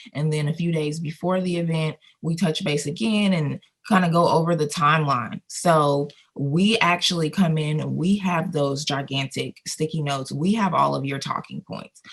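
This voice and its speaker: A woman talks with an American accent at a moderate pace. Her voice is very deep and low, somewhat breathy, with ordinary pitch variation. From Colorado. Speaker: video production company owner. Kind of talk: interview. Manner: conversational.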